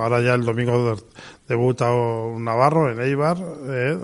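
The man's medium-pitched voice keeps fairly even intonation. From Pamplona, Navarre, Spain. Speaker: sports federation president. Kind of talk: radio interview. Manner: halting, many fillers.

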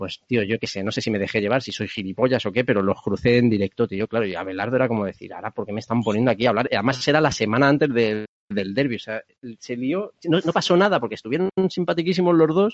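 A man speaks at a medium pitch with lively intonation. His pace is very fast. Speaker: podcast host. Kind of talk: casual interview chat. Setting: video call.

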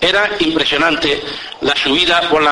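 In an Andalusian accent, a man speaks with a solemn tone at a moderate pace and a fairly high pitch. Noticeable background noise is present. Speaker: Holy Week orator (pregonero). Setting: public event with audience, radio-recorded. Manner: solemn, measured and ceremonious, rhetorical; storytelling tone in anecdotes.

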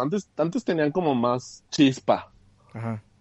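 This man's voice swings very widely in pitch. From Mexico, raised in Aguascalientes. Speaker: graphic designer and adult content creator. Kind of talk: casual chat.

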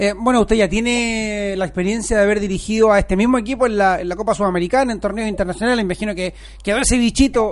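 Talking at a very fast pace in a Chilean accent, a man keeps a high pitch and fairly even intonation. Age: 30s. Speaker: sports radio host. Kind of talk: casual chat.

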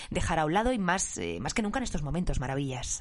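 A woman's fairly low voice at a very fast pace. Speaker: podcast host. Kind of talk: interview. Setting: home studio.

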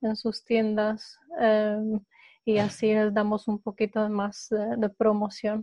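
Delivery is very slow with monotone, flat intonation. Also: woman. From Poland. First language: Polish (speaking Spanish). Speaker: eco startup co-founder. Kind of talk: interview. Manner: halting.

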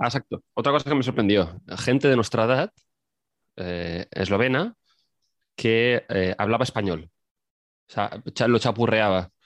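At a fairly slow pace with long, frequent pauses, a man talks in a medium pitch with ordinary pitch variation, recorded dry and close with no echo against a quiet background. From Spain. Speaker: podcast guest. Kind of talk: casual chat. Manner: halting.

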